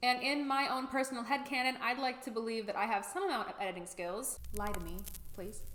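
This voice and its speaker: A woman speaks at a fairly quick pace in a high pitch. Noticeable background noise and audible room echo fill the recording. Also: lively intonation. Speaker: YouTuber. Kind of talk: vlog monologue. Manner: animated, louder than usual for video.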